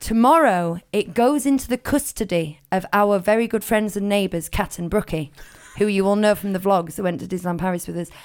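At a fairly quick pace, a woman speaks in a normal speaking voice of medium pitch, with ordinary pitch variation. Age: 30s. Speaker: podcast host. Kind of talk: casual chat.

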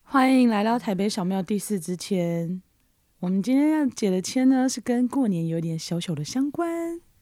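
In a very clean recording with a silent background, a woman with a dark, mellow tone and medium pitch speaks at a moderate pace with very wide pitch swings. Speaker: podcast co-host. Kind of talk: casual chat. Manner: lazy, slurred articulation.

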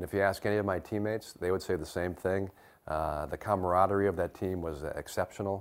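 A man with a Midwestern American accent speaks at a very fast pace on a very clean recording with a silent background. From US Midwest (Detroit area, Michigan). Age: 50s. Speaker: retired football player. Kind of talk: interview.

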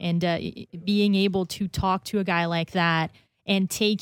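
Here is a woman with an ordinary speaking voice, fairly low in pitch, talking at a moderate pace with fairly even intonation. The recording is very clean, with a silent background. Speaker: radio co-host. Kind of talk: casual sports talk radio.

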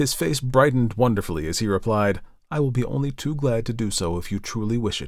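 Someone reads a passage aloud in their natural voice, and the pitch rises and falls in an ordinary way.

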